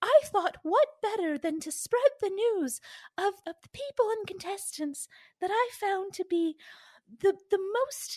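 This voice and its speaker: Her put-on character voice sits at an extremely high pitch. The woman takes a fairly slow pace. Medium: actual play. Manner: chatty, awkward.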